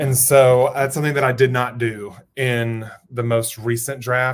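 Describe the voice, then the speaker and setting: Here a man speaks with an American accent at a medium pitch. His pace is moderate. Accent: Southern accent, per viewer. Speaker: writer streaming live writing sprints. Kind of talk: live stream chat with viewers. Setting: home studio, live stream. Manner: animated, chatty.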